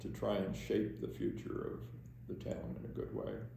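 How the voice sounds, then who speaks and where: Fairly slow speech from a man with an American accent, noticeable background noise behind it. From Delaware Water Gap, Pennsylvania, USA. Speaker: borough council member. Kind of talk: oral history interview answer. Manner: hesitant, halting.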